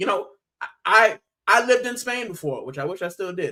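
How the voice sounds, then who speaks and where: With an American accent, the speaker talks at a fairly quick pace in an animated tone. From US, Miami (Puerto Rican family). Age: 30s. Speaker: football fan channel host. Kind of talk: casual livestream chat. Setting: livestream.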